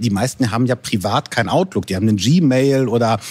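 A man at a medium pitch, fairly quick, with ordinary pitch variation in a plain, everyday voice. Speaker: podcast host and software trainer. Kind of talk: casual chat.

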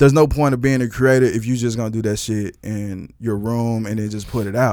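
A man with an American accent talks at a moderate pace and medium pitch, with ordinary pitch variation, in a plain, everyday voice. The recording is very clean, with a silent background. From Texas. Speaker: retired rapper and content creator. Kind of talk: casual chat.

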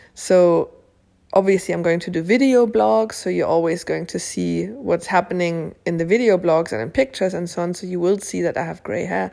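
A woman's fairly low voice with a dark, mellow tone and very wide pitch swings, at a moderate pace on a very clean recording with a silent background. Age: 40s. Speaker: podcaster. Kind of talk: casual solo monologue. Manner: hesitant, many fillers.

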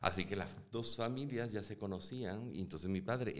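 Over noticeable background noise, the speaker goes at a fairly quick pace with lively intonation. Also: man. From Venezuela (Caracas). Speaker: actor and film director. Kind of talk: interview conversation. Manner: halting, repeats words.

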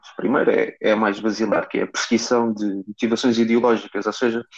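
A man's medium-pitched, flat, monotone delivery at a fairly quick pace, dry and close with no echo. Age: 20s. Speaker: political science student, party member. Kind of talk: casual chat.

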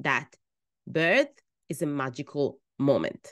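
A woman speaks very slowly in a very deep, low voice. She has an Italian accent, and the background is quiet. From Italy. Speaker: midwife and birth coach. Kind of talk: personal storytelling monologue.

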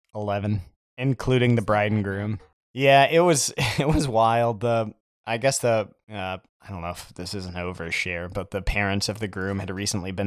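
At a moderate pace, a man with a fairly low pitch talks in a plain, everyday voice. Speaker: podcast co-host. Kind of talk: casual chat.

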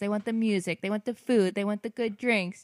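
A woman with an American accent speaks in an unremarkable speaking voice at a medium pitch with ordinary pitch variation, recorded dry and close with no echo, the recording very clean against a silent background. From Pennsylvania, US. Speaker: guest. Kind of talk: casual chat.

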